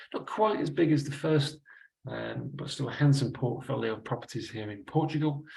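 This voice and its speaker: Somewhat breathy and fairly high-pitched, a man with a Manchester accent speaks at a moderate pace. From northern England, Manchester. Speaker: investment adviser. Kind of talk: webinar presentation. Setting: online webinar.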